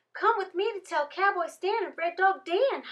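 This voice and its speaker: A woman uses a put-on character voice at an extremely high pitch. It sounds squeaky. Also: moderate pace. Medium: read story. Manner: frantic, folksy.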